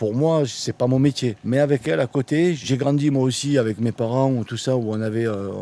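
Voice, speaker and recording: With a dark, mellow tone and medium pitch, a man talks at a fairly quick pace with ordinary pitch variation, captured in a dry, close sound with no echo. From France, Marseille. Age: 60s. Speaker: expat builder. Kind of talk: casual interview.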